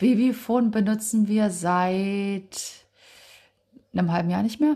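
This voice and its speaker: A woman with a fairly high pitch and a dark, mellow tone sounds somewhat breathy. Her pitch varies in an ordinary way, and she pauses long and often. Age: 30s. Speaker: parenting podcast co-host. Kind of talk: casual chat.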